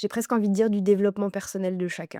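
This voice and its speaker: This very clean recording has a silent background. A woman speaks at a medium pitch with fairly even intonation. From France, Lucé near Chartres. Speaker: vocal coach. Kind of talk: interview. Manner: hesitant, many fillers.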